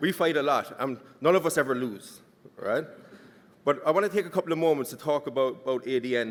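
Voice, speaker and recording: A man with a strong Irish accent and a fairly high pitch talks at a very fast pace with ordinary pitch variation, broken by long, frequent pauses. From Ireland. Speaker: conference speaker. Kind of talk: conference speech.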